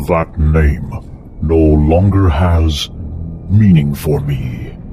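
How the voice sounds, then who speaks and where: A put-on, gruff character voice from a man, very deep and low in pitch, at a very slow pace, with clear music in the background. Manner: calm, gruff.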